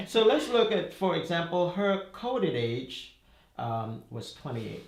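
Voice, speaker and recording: Over noticeable background noise and audible room echo, a man with a Caribbean accent talks at a fairly slow pace and a high pitch, with very wide pitch swings. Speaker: numerology author explaining his method. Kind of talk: explanatory conversation.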